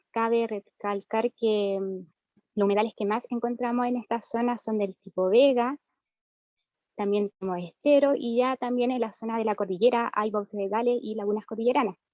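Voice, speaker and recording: Using a normal speaking voice, a woman talks at a moderate pace with fairly high pitch and fairly even intonation. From central Chile, Valparaíso region countryside. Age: 30s. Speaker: rural community member, wetland defender. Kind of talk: panel presentation.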